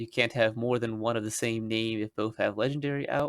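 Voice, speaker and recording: Here is a man with a normal speaking voice at medium pitch. The recording is very clean, with a silent background. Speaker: YouTube card game rules explainer. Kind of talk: tutorial narration to camera. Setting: home recording, basic microphone. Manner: casual, many filler words.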